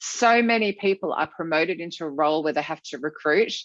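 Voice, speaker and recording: A woman's very deep, low voice, animated, with lively intonation and a fairly quick pace. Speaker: author and recruitment trainer. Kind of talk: conference presentation. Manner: fast.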